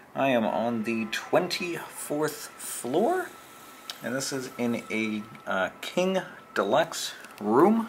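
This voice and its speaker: Light background noise behind a man talking. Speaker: travel vlogger. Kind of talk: casual room tour narration. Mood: light, joking. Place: home room. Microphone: phone near.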